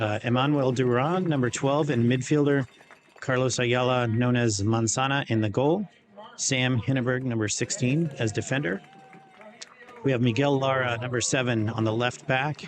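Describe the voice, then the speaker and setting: This man talks at a moderate pace and medium pitch, with very even loudness, fairly even intonation and noticeable background noise. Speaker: soccer livestream commentator. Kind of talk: live commentary. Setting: stadium livestream. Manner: halting, many fillers.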